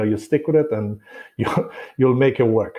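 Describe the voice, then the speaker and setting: A somewhat breathy man in a Romanian accent, at a moderate pace with ordinary pitch variation. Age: 40s. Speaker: real estate broker. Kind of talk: podcast interview.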